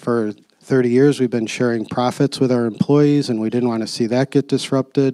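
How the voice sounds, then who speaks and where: A man's dark, mellow voice at medium pitch, moderate pace and fairly even intonation, with a dry, close sound and no echo. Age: 60s. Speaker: company CEO, panelist. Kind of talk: panel discussion talk. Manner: hesitant, many fillers.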